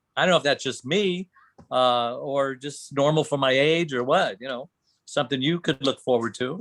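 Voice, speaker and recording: A man with an ordinary speaking voice talks at a moderate pace and fairly high pitch. His pitch varies in an ordinary way, and the sound is dry and close with no echo. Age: 60s. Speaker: coaching client, gas station owner. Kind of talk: casual chat with coach.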